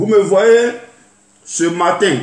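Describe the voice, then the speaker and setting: A man with an Ivorian accent, ordinary pitch variation and audible room echo. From Côte d'Ivoire, Lakota (Dida). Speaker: YouTube artist, former soldier. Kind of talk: video address to the public. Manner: halting.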